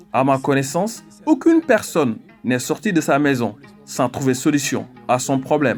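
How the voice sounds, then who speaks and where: A man talks at a fairly high pitch and a moderate pace with ordinary pitch variation. His loudness stays very even while music plays in the background. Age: 50s. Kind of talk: interview answer.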